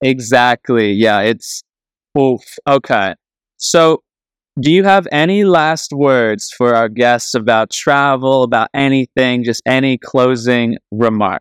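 A man at a medium pitch speaks at a very slow pace with very even loudness and ordinary pitch variation, in a dry, close sound with no echo. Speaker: podcast host. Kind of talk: casual interview chat. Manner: animated, upbeat.

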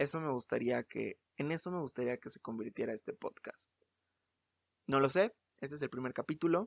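A man with a Mexico City accent at a fairly high pitch, moderate pace, lively intonation, big swings in loudness, long and frequent pauses, and a dry, close sound with no echo. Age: 20s. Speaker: podcast host, actor and playwright. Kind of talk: casual solo monologue. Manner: halting, many repetitions.

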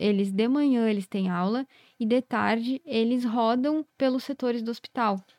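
The woman has a normal speaking voice, fairly high in pitch, at a moderate pace. Her recording is very clean, dry and close with no echo, over a silent background. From southern Brazil, Rio Grande do Sul (Carlos Barbosa, Serra Gaúcha). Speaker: veterinary cardiologist. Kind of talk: podcast interview.

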